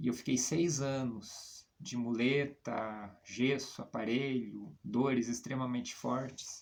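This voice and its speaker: A man talks at a very slow pace with hardly any pauses. His pitch is medium and his intonation fairly even. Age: 50s. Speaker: comic book artist. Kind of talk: personal portfolio presentation. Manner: hesitant, many fillers.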